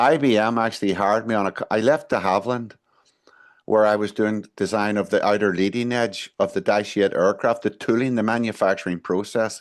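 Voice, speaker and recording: A man with a Northern Irish accent talks at a fairly quick pace, his fairly low voice keeping a fairly even intonation. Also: quiet background. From Northern Ireland (Belfast area). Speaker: management consultant and engineer. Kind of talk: interview answer.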